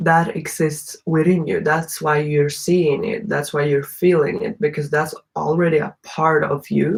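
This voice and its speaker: With ordinary pitch variation and a somewhat breathy quality, the speech proceeds at a fairly slow pace. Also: woman, very deep, low pitch for a woman. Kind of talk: casual monologue.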